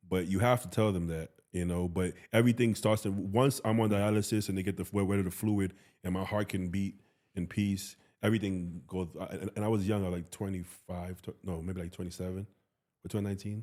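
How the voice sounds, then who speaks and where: Fairly quick and fairly low-pitched, a man's voice carries a dark, mellow tone and fairly even intonation. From US Northeast, Bronx, New York City. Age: 30s. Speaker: bodybuilder and coach. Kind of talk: casual chat.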